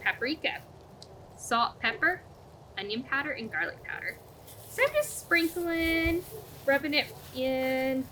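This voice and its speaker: Against noticeable background noise, a woman speaks with a high pitch and lively intonation at a fairly slow pace. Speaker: cooking show co-host. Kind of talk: casual cooking demonstration.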